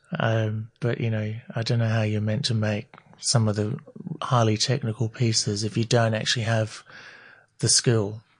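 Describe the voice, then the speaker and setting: A man with an Australian accent, medium pitch, somewhat breathy, at a moderate pace in a monotone, flat intonation. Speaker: eyewear designer. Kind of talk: interview.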